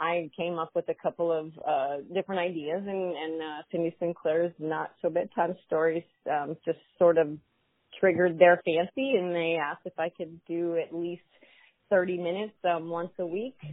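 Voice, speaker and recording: A woman talks at a moderate pace in fairly low pitch with fairly even intonation. It is an ordinary speaking voice. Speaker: adult performer. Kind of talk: casual interview chat.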